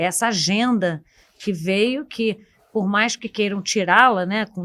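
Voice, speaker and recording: A woman speaks with a Carioca accent at medium pitch. Her pace is moderate and her pitch variation ordinary. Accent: Carioca (Rio de Janeiro) accent, noticeable. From Rio de Janeiro, Brazil. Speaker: economist. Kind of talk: panel discussion podcast. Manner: halting, many fillers.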